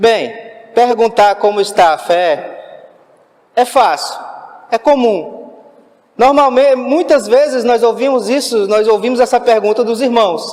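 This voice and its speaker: A man's extremely high-pitched voice at a fairly slow pace, with very even loudness, ordinary pitch variation and long, frequent pauses. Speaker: lay preacher. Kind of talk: sermon. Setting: church.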